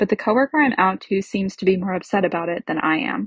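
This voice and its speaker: A woman speaks at a fairly quick pace in a medium pitch, somewhat breathy, with ordinary pitch variation. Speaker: listener sending a question. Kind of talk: reading aloud.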